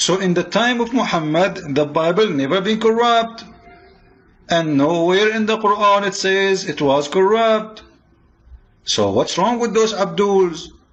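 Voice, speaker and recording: A man's high voice at a fairly slow pace, with ordinary pitch variation and very even loudness. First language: not English. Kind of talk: polemical religious monologue. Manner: animated; halting, repeats words.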